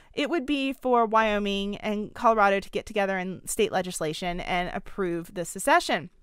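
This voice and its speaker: In a very clean recording with a silent background, a woman talks at a fairly slow pace in an animated tone. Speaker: podcast host, political commentator. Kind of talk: podcast monologue. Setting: podcast recording.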